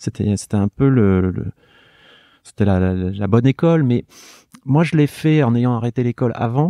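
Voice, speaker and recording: A man with a dark, mellow tone speaks with long, frequent pauses. The sound is dry and close with no echo, over a quiet background. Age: 50s. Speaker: artist and illustrator. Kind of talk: interview. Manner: halting.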